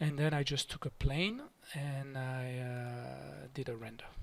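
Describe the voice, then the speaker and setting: A man with a French accent and a calm tone. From France. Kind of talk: software modeling tutorial narration. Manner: calm, unhurried, hesitant.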